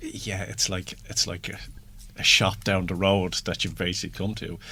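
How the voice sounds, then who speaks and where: A man with a very deep, low pitch and an Irish accent speaks at a moderate pace in a monotone, flat intonation. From Ireland. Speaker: radio host. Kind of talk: radio interview.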